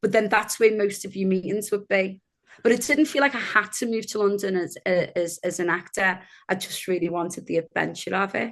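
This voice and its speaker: A woman speaks with a Liverpool accent. Her pace is fairly quick and her pitch varies in an ordinary way. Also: medium pitch for a woman. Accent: Liverpool accent, kept. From northern England, Liverpool (Kirkby). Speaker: actor. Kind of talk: interview conversation.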